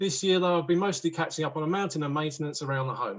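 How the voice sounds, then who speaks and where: With a southern English accent, a man speaks at a fairly high pitch with ordinary pitch variation. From southern England, East Sussex. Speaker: woodworker. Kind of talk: talk to online audience.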